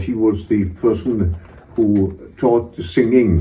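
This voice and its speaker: Somewhat breathy, a man with a Pembrokeshire accent shows ordinary pitch variation amid audible room echo. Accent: Welsh English, Pembrokeshire. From Wales. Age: 80s+. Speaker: retired head teacher. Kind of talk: oral history interview. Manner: halting, with frequent fillers.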